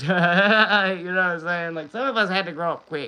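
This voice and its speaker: A man's raised, projected voice with an American accent, bright and sharp in tone, at a fairly quick pace, with ordinary pitch variation and an animated tone, against a quiet background. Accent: Southern rural accent, noticed by others. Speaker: livestreamer. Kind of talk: casual chat. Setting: livestream.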